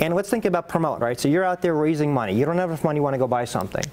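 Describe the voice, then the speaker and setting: Noticeable background noise fills the recording. Over it, a man's intonation is lively. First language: not English. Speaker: real estate investment banker and lecturer. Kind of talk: presentation.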